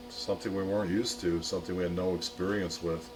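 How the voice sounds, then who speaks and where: A man with a very deep, low voice talks at a very fast pace with fairly even intonation. Noticeable background noise is present. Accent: American. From Chicago. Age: 60s. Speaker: diner owner. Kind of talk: interview.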